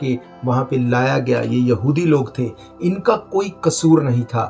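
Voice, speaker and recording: With music in the background, a man's medium-pitched voice shows ordinary pitch variation. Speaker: preacher. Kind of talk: sermon delivered to a congregation.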